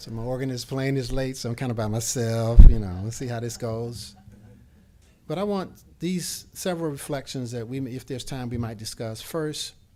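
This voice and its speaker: Over audible room echo, a man with a dark, mellow tone talks at a moderate pace and medium pitch, with ordinary pitch variation and big swings in loudness. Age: 60s. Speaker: professor of preaching and keynote speaker. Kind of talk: keynote lecture. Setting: symposium lunch with audience.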